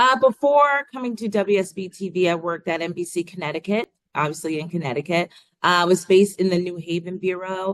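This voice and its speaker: A woman speaks at a fairly quick pace with a slight Long Island accent. Her pitch varies in an ordinary way. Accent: subtle Long Island. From Long Island, New York. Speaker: TV news reporter. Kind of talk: interview.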